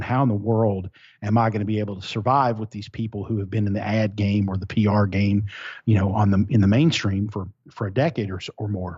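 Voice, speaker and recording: A man talks at a very fast pace with a fairly low pitch and fairly even intonation. His voice is somewhat breathy. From eastern Kentucky. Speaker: digital marketing strategist. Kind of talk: interview. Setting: remote line.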